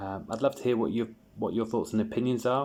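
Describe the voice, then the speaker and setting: This man has a dark, mellow tone. His intonation stays monotone and flat. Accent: British. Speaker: sports card collector YouTuber. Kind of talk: casual video review. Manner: halting, many fillers and repeats.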